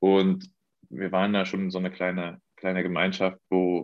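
In a monotone, flat intonation, a man talks with a very deep, low pitch. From Mecklenburg-Vorpommern, Germany. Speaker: professional football goalkeeper. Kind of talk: interview.

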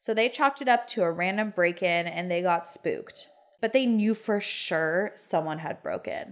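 Her intonation lively, a woman talks at medium pitch and a moderate pace. The recording is very clean, with a silent background. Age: 30s. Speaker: podcast co-host. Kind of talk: casual true-crime storytelling chat. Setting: home podcast room. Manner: animated.

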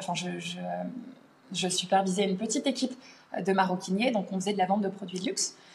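A woman speaks over noticeable background noise. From France. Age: 30s. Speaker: language teacher. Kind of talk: casual interview. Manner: hesitant, many fillers.

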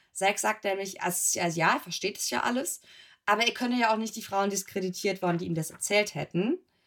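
With an unremarkable speaking voice, a woman talks at a fairly quick pace and a medium pitch, her pitch varying in an ordinary way. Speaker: podcast co-host. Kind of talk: casual chat.

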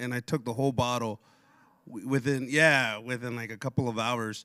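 In a normal speaking voice, a man with an American accent speaks at a moderate pace and medium pitch on a very clean recording with a silent background. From Pasco, Washington (Tri-Cities), US. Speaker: church member sharing testimony. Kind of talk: testimony. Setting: church service with audience. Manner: casual, filler-heavy.

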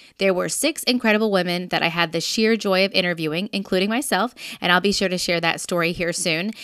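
Animated and very fast, a woman's medium-pitched voice moves with ordinary pitch variation in a very clean recording with a silent background. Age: 30s. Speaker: podcast host. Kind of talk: scripted narration.

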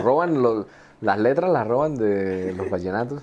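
A plain, everyday voice with lively intonation. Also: man. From Colombia. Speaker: engineer and fashion entrepreneur. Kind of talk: casual interview.

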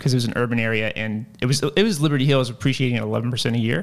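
With an American accent, a man speaks in an unremarkable speaking voice with ordinary pitch variation. The recording is very clean, with a silent background. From Virginia (Lynchburg). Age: 30s. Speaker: tech sales manager. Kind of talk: interview.

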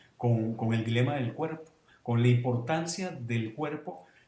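A fairly slow pace with ordinary pitch variation and audible room echo. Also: man. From Venezuela. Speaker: novelist. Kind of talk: panel discussion.

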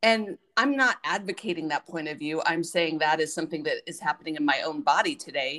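A woman with a normal speaking voice and a fairly low pitch talks at a fairly quick pace with lively intonation and hardly any pauses. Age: 50s. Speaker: podcast host. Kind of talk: casual interview.

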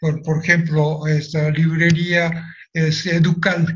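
This man talks at a very slow pace in a fairly high voice. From Japan, Nagasaki. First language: Japanese (speaking Spanish). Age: 80s+. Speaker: atomic bomb survivor. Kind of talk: testimony.

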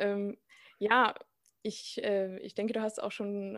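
On a very clean recording with a silent background, a woman speaks at a medium pitch and a fairly slow pace in a monotone, flat intonation. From Austria. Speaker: podcast host. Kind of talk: interview.

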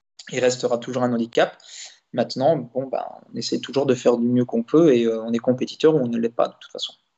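At a very fast pace, a man talks at a medium pitch in a monotone, flat way, with big swings in loudness. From Belgium, Liège region. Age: 30s. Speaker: racing driver. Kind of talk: interview. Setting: live stream. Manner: halting.

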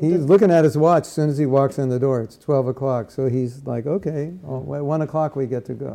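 A man talks at a fairly quick pace with hardly any pauses. His pitch is fairly high, and his loudness swings widely. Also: ordinary pitch variation. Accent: American. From Southern California. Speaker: spiritual teacher. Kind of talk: workshop lecture with live translation. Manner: short phrases paused for interpreter.

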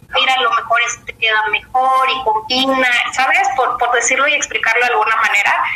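Her voice sits at a high pitch, with ordinary pitch variation and very even loudness. Noticeable background noise runs behind this woman. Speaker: business professional. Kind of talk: interview. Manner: halting.

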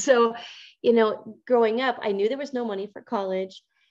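A woman with an American accent speaks in a plain, everyday voice, fairly high in pitch with fairly even intonation. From Montana, US. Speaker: entrepreneur. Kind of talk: interview.

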